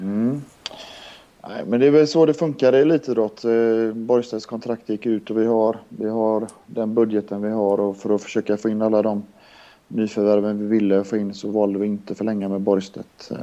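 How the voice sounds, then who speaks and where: A man with a normal speaking voice, fairly low in pitch, with fairly even intonation at a moderate pace. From Linköping, Östergötland, then Kungsbacka area near Gothenburg from age nine. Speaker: handball coach, former player. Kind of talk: casual chat.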